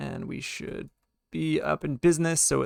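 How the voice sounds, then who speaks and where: Dry, close, echo-free sound of a man talking at a moderate speed. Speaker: web development instructor. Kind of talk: coding tutorial lecture. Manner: casual with filler words.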